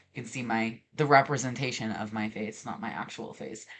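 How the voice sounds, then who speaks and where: The speaker is a man with a medium pitch. He keeps a moderate pace and ordinary pitch variation. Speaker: artist streamer. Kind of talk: casual chat. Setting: livestream. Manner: hesitant, many fillers.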